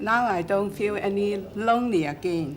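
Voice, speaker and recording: With audible room echo, a woman speaks at a fairly slow pace and medium pitch, with ordinary pitch variation. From Hong Kong. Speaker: migrant and community volunteer. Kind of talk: documentary interview. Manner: halting.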